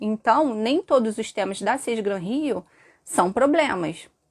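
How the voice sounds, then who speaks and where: A normal speaking voice with lively intonation comes through a dry, close sound with no echo. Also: woman, very clean recording, silent background. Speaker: teacher. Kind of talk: live stream lesson. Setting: live stream with chat.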